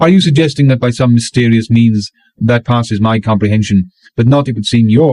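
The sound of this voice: Over a quiet background, the delivery is an unforced reading voice with ordinary pitch variation.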